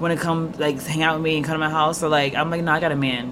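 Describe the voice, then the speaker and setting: A woman with a very deep, low pitch, very fast and monotone, over noticeable background noise. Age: 20s. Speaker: podcast host. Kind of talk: casual chat.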